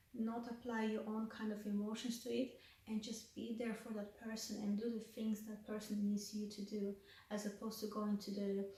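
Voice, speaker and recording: The woman's pitch is fairly high and her intonation monotone and flat, at a moderate pace. Noticeable background noise and audible room echo fill the recording. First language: Russian. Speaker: counselling student and vlogger. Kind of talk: reflective vlog.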